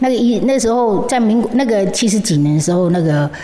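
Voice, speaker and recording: A woman with lively intonation at a moderate pace, over noticeable background noise. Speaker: founder of charity for deaf children. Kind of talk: interview. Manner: halting, repeats words.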